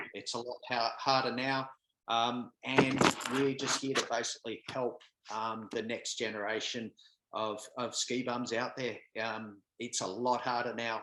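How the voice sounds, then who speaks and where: A man in an Australian accent talks at a fairly slow pace and medium pitch, his bright, sharp tone held in a monotone, flat intonation. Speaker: podcast co-host. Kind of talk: casual chat. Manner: halting, many fillers.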